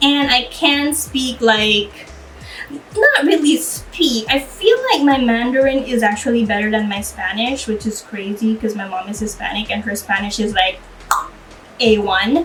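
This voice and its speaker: Against noticeable background noise, a woman with a Belizean accent speaks fairly slowly at a fairly high pitch with ordinary pitch variation. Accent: Belizean, enunciated proper English. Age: 30s. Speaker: YouTuber. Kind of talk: casual Q&A vlog. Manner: slow, stretched enunciation.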